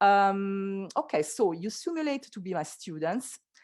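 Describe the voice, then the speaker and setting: A woman with an Italian accent, medium pitch and lively intonation, at a fairly slow pace against a quiet background. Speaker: school teacher. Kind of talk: online workshop presentation. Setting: video call. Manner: hesitant, many fillers; deliberately slow.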